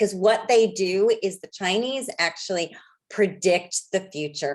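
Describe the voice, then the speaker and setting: A woman with an American accent talks at a fairly slow pace at medium pitch, with ordinary pitch variation and big swings in loudness. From United States. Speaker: feng shui practitioner.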